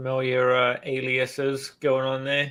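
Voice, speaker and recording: A man's medium-pitched voice with an English accent and monotone, flat intonation, on a very clean recording with a silent background. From England. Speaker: card collector. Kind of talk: casual chat.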